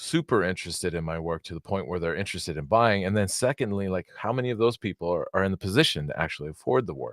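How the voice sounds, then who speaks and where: A man's very deep, low voice with lively intonation, a very fast pace and hardly any pauses, dry and close with no echo, on a very clean recording with a silent background. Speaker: knifemaker. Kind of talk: casual interview conversation. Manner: halting, stuttering.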